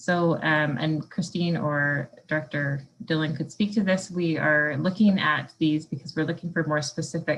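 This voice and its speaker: Somewhat breathy and very deep in pitch, a woman speaks at a moderate pace with fairly even intonation and hardly any pauses. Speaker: municipal staff presenter. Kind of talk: staff presentation at council meeting.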